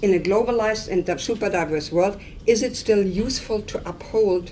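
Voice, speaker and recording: Noticeable background noise and audible room echo around a woman's voice at a moderate pace. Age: 60s. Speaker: professor. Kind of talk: lecture.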